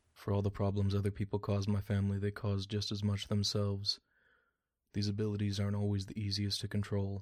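A man speaks quietly and very fast in a fairly low pitch, somewhat breathy and monotone with flat intonation, in a very clean recording with a silent background. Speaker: audio drama character. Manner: monotone, flat and stoic; quiet, speaks little.

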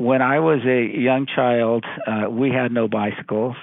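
In a Californian accent, a man speaks at a fairly slow pace with a monotone, flat intonation. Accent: Californian American. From California, Central Valley. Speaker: law professor. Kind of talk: interview.

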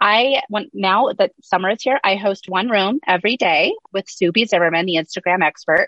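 Spoken at a moderate pace with hardly any pauses, a normal speaking voice shows ordinary pitch variation. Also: woman, medium pitch for a woman. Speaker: social media strategist. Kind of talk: casual interview chat.

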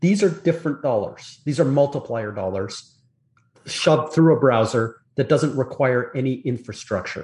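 Against a quiet background, a man with a fairly high pitch speaks at a moderate pace with lively intonation and a somewhat breathy sound. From Canada. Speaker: industry analyst. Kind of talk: interview.

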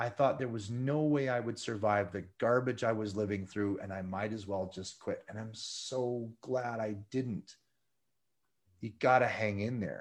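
Over a quiet background, a man talks at a fairly slow pace in a normal speaking voice, medium in pitch with fairly even intonation. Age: 50s. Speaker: ultramarathon runner and motivational speaker. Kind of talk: interview testimony.

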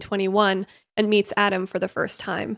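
In a plain, everyday voice, a woman talks at a fairly quick pace and medium pitch. The recording is very clean, with a silent background. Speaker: podcast co-host. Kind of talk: casual chat.

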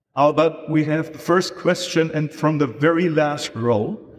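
A man talks at a fairly slow pace with a German accent. His pitch is fairly high. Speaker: event organizer. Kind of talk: stage moderation. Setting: stage with audience. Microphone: poor audience recording.

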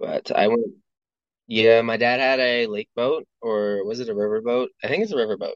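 In a Western Canadian accent, a man speaks at medium pitch. His pace is moderate and his intonation fairly even. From northern British Columbia, Canada. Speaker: podcast guest, delivery driver. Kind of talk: casual chat. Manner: halting.

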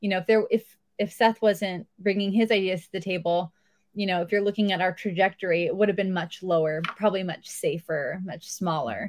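An ordinary speaking voice from a woman with an American accent, medium pitch, fairly quick pace, fairly even intonation, and big swings in loudness. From Southern California. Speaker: treehouse resort owner. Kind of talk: interview.

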